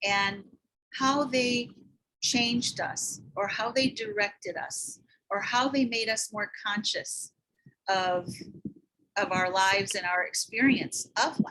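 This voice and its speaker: Using a bright, sharp tone and ordinary pitch variation, a woman speaks at a very slow pace with long, frequent pauses. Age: 60s. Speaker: memoir writing teacher. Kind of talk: talk to a community gathering. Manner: halting, with fillers.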